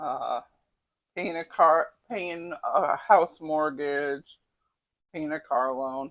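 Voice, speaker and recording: Over a quiet background, a woman with a very deep, low pitch speaks at a very slow pace with long, frequent pauses. Her loudness swings widely while her pitch varies in an ordinary way. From US Northeast (Connecticut). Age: 60s. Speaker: cooking channel host. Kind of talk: casual cooking tutorial.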